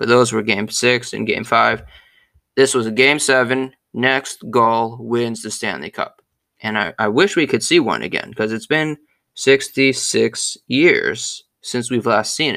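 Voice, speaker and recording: A man with a bright, sharp tone and vocal fry speaks fairly slowly at a medium pitch with ordinary pitch variation, in a very clean recording with a silent background. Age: 20s. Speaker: sports podcast host. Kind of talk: solo sports history monologue. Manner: casual, conversational with fillers.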